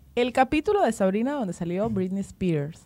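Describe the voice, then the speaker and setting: The woman keeps a moderate pace. Her pitch swings very widely. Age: 20s. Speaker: podcast co-host. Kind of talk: casual chat. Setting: studio.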